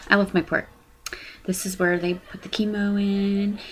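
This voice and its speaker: Noticeable background noise behind fairly slow talking. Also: woman. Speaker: vlogger with cancer. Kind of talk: personal video blog. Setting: bedroom, webcam. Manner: loud; animated.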